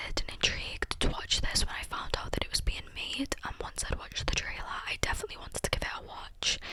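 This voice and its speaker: Whispering against noticeable background noise. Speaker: ASMR creator. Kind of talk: whispered ramble to camera. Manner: whispered, soft-spoken.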